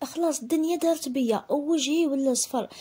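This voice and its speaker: In an Algerian accent, a woman talks at a moderate pace with a high pitch and ordinary pitch variation. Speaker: storytelling vlogger. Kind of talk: first-person storytelling. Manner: animated.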